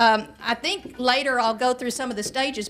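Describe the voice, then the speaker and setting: A woman's high-pitched voice at a fairly quick pace, with ordinary pitch variation and noticeable background noise. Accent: Southern US. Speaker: nurse practitioner and health educator. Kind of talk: public health talk to an audience. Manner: conversational, with asides and hesitations.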